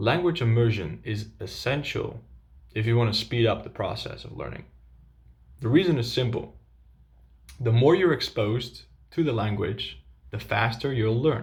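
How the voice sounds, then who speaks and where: A man with a Dutch accent speaks at a moderate pace in a medium-pitched voice with vocal fry, lively intonation and long, frequent pauses. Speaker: language coach. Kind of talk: tutorial.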